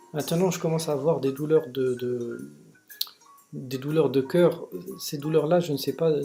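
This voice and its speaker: A man talks with fairly even intonation, and noticeable background noise can be heard. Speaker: vlogger sharing personal experience of depression. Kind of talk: personal video monologue. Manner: slow, soft articulation; halting, many repetitions and hesitations.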